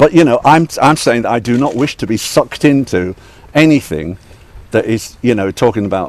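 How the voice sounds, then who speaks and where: The speaker is a man with a British accent. He talks at a moderate pace. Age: 60s. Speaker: radio DJ, broadcaster. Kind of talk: statement to reporters.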